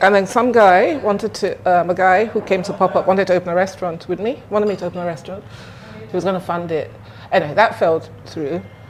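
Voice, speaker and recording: A woman speaks very fast at medium pitch, with ordinary pitch variation. Noticeable background noise is present. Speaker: restaurant owner. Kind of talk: casual interview chat.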